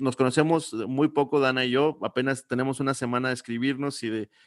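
Recorded very cleanly against a silent background with a dry, close sound and no echo, a man speaks at a moderate pace and a medium pitch in an unremarkable speaking voice. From Mexico, Coahuila. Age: 30s. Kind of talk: casual interview.

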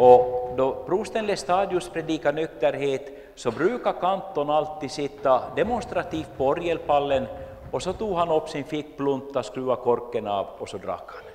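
Over noticeable background noise, a man with an Ostrobothnian accent speaks in a fairly high voice with lively intonation, big swings in loudness and hardly any pauses. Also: moderate pace. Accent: Finland-Swedish, Ostrobothnian. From Finland, Jakobstad (Swedish-speaking Ostrobothnia). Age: 50s. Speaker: lay preacher and church history speaker. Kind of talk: lecture.

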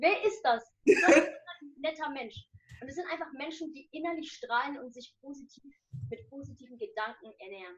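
Her high-pitched voice moves at a moderate pace, as this woman uses lively intonation and big swings in loudness. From Germany, Nuremberg. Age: 20s. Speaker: student and social media motivational creator. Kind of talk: interview.

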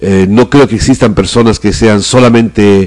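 At a very slow pace, a man speaks in a fairly low pitch with a dark, mellow tone and ordinary pitch variation. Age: 50s. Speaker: theatre director. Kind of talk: interview.

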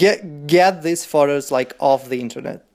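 Speaking at a moderate pace in a Russian accent, a man uses lively intonation in a very clean recording with a silent background.

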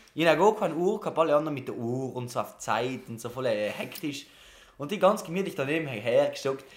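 With lively intonation and a South Tyrolean accent, a man speaks at a fairly quick pace in a fairly high pitch. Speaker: podcast co-host. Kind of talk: casual chat.

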